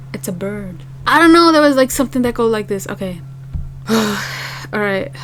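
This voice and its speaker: With a non-native accent, a woman speaks at a moderate pace and a medium pitch, her pitch swinging very widely amid noticeable background noise. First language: not English. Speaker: K-pop reaction youtuber. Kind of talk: casual reaction video chat. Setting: home apartment.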